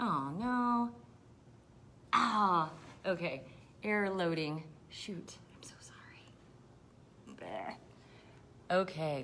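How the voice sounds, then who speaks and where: A woman speaks at a very slow pace with long, frequent pauses, her fairly low voice bright and sharp in tone, her intonation lively, and audible echo filling the room. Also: big swings in loudness. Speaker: county health officer. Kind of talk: live Q&A stream. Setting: livestream video. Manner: many fillers and hesitations.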